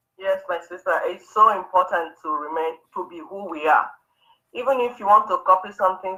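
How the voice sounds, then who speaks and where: A woman with an African accent, medium in pitch, at a moderate pace with ordinary pitch variation. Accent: African accent, kept. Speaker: women's show co-host. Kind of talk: talk show discussion. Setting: live online stream.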